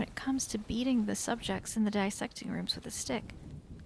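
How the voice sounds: The clip has a natural reading voice. Pitch moves in an ordinary way.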